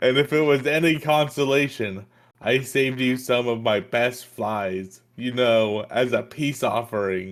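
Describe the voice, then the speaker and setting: On a very clean recording with a silent background, a man puts on a croaky character voice at medium pitch and a moderate pace. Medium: read story.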